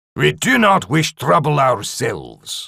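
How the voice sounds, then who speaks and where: Putting on a growling character voice, a man speaks at a fairly slow pace with a fairly high pitch. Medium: read story. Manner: gruff, blunt.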